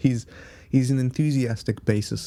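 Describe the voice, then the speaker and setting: A man with a South African accent speaks at a moderate pace in a dark, mellow tone. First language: Afrikaans. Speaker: podcaster. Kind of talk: casual solo monologue. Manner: halting, many fillers and pauses.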